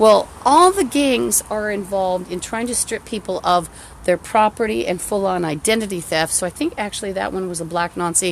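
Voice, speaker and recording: A woman speaks at a moderate pace. Her medium-pitched voice shows ordinary pitch variation. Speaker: vlogger. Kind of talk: personal rant. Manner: halting; distracted.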